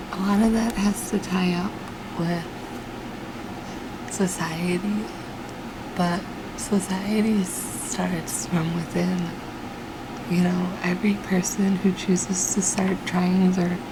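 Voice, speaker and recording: A soft-spoken woman whispers at a very slow pace, with long, frequent pauses. Noticeable background noise sits behind her. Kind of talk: ASMR whispered ramble, casual personal talk. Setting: home recording with fan noise in low light. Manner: soft-spoken, whispered.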